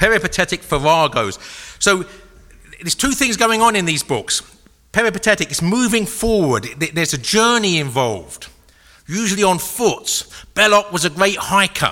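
In an English accent, a man talks in a raised, projected voice at a high pitch. His pace is moderate and his intonation lively. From England. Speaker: author and speaker. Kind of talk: lecture. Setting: stage with audience. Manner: humorous, conversational.

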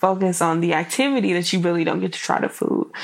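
Her voice fairly low, a woman talks at a fairly quick pace. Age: 20s. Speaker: podcast host and blogger. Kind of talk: casual solo podcast talk. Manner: animated.

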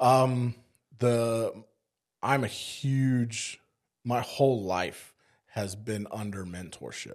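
Very slow pace with long, frequent pauses and fairly even intonation. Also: man, medium pitch for a man. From South Africa (Cape Town), moved to East Texas at 15. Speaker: firefighter. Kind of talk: casual chat.

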